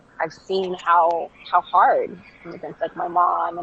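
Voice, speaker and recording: A woman speaks with a Southern Californian accent at a fairly low pitch. Noticeable background noise runs under her voice. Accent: Valley Girl. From Jamaica. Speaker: clothing brand founder. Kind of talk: casual interview.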